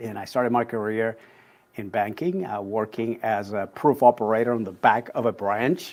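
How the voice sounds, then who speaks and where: A moderate pace in a Spanish accent, with ordinary pitch variation and big swings in loudness. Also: man, medium pitch for a man. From Puerto Rico. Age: 60s. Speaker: executive coach. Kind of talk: interview conversation.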